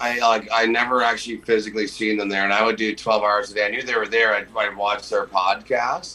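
A man talks at a fairly quick pace in a fairly low, monotone, flat voice over noticeable background noise. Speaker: roofer and freedom movement activist. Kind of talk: casual chat. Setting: podcast interview. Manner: loud, outspoken.

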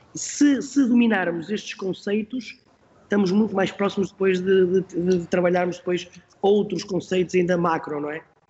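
A man with a high pitch keeps a moderate pace as noticeable background noise carries on. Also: ordinary pitch variation. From Portugal, Porto. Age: 40s. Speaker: football coach. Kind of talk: interview. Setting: podcast.

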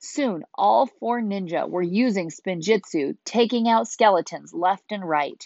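What you hear is a natural reading voice.

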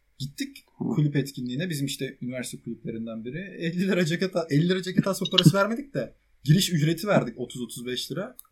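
This man talks very fast at a fairly high pitch, with lively intonation and big swings in loudness. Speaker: podcast co-host, university student. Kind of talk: casual chat.

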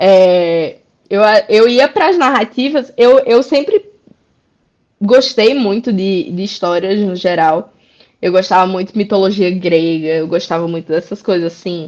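Lively intonation in a Rio Grande do Norte accent at a fairly slow pace. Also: woman, medium pitch for a woman. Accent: northeastern Brazilian (potiguar). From Brazil, interior of Rio Grande do Norte (Currais Novos). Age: 30s. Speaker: illustrator and comics author. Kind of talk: casual interview.

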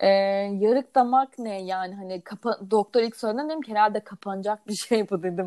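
A woman talks at a fairly quick pace with a dark, mellow tone and big swings in loudness. The sound is dry and close, with no echo. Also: medium pitch for a woman, ordinary pitch variation. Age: 20s. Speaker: podcast co-host, mother of a child with Down syndrome. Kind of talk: casual chat.

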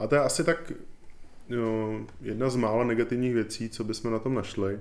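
The pace is moderate. A man talks with fairly even intonation. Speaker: podcast host. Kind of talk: casual chat about board games.

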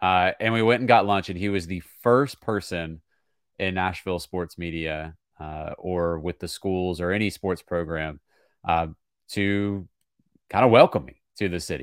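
In a very clean recording with a silent background, a man speaks at a fairly slow pace in a very deep, low pitch with ordinary pitch variation. The sound is dry and close with no echo, and his loudness swings widely. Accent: American. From small-town Virginia. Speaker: play-by-play sports broadcaster. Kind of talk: podcast interview.

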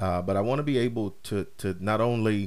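At a moderate pace, a man with a fairly low pitch and ordinary pitch variation speaks in a plain, everyday voice. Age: 30s. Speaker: podcast host. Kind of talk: casual monologue. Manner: many fillers and repetitions.

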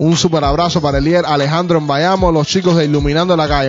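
Animated in tone, a man talks at a very fast pace. His pitch is fairly high. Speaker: podcast host. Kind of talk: casual chat.

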